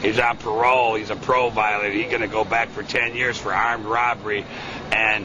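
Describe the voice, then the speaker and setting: Fairly fast talking with noticeable noise behind it. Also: man. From Chicago. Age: 60s. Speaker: war veteran. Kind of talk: interview answer. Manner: excited, rambling.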